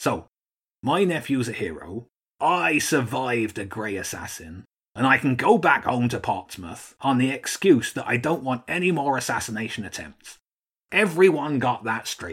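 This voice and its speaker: A gruff, put-on character voice from a man, medium in pitch, at a moderate pace, on a very clean recording over a silent background. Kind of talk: children's audiobook character voice. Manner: gruff, blustering then cheery.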